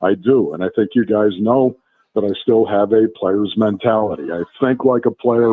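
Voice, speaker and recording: A man with an ordinary speaking voice talks at a moderate pace in a medium pitch, with ordinary pitch variation. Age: 60s. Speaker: former NFL player and radio analyst. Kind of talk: casual radio interview. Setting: live radio broadcast from a restaurant.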